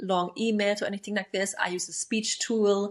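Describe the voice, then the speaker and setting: On a very clean recording with a silent background, a woman with a non-native accent speaks in a flat monotone. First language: not English. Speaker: attachment style coach. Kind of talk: self-help podcast monologue. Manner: casual, filler-heavy.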